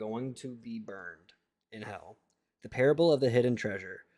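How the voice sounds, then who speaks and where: On a very clean recording with a silent background, a man mumbles at a medium pitch. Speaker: streamer reading the Bible aloud. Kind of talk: reading aloud with live stream chat. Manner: mumbling; halting, stumbling over words.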